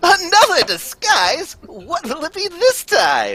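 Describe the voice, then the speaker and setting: In a put-on character voice, the speaker delivers lines fairly slowly at an extremely high pitch. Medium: stage play.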